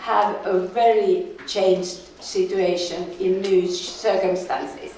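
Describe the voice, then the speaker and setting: Through audible room echo and noticeable background noise, a woman with a Finnish accent speaks at a very slow pace with very wide pitch swings. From Finland. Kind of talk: conference lecture. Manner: halting.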